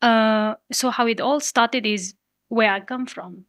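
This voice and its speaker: A woman with a Nepalese accent, fairly high in pitch and very slow, in a very clean, dry, close recording with no echo and a silent background. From Limi Valley, Humla, northwestern Nepal. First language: Limi. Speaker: youth climate activist. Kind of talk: podcast interview.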